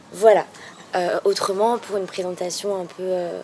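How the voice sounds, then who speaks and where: A woman at a fairly low pitch and a moderate pace, over noticeable background noise. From metropolitan France, Nantes. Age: 20s. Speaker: language student and travel blogger. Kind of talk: video blog introduction. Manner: hesitant, many fillers.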